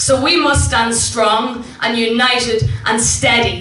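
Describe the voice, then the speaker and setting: With an Irish accent and ordinary pitch variation, the voice comes through noticeable background noise. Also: woman. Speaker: poet and singer. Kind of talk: live spoken word poetry performance. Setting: live venue.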